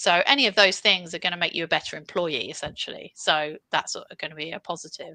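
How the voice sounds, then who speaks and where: Speaking very fast with hardly any pauses, a woman with a British accent has a fairly low pitch and a bright, sharp tone, with ordinary pitch variation, big swings in loudness, and a dry, close sound with no echo. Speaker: career coach and CV expert. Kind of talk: live webinar Q&A advice. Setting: live stream with online audience.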